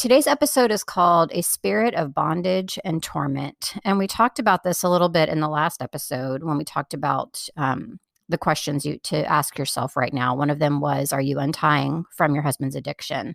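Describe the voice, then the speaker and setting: Her pitch very deep and low, a woman speaks with vocal fry and lively intonation. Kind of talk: solo podcast talk. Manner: casual, conversational with fillers.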